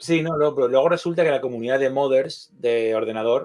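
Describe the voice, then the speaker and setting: An ordinary speaking voice comes from a man talking at a fairly quick pace with ordinary pitch variation. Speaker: co-founder of an electronics platform. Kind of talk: interview.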